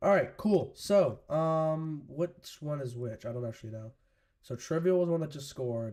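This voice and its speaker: A man's fairly high voice carries a dark, mellow tone and lively intonation. His loudness swings widely. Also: moderate pace. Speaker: live-stream sports commentator. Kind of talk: live commentary. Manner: casual.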